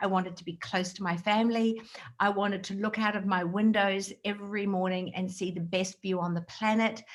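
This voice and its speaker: In an Australian accent, a woman speaks with monotone, flat intonation. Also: medium pitch for a woman, fairly quick pace. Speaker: direct sales trainer. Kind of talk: motivational talk. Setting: video call.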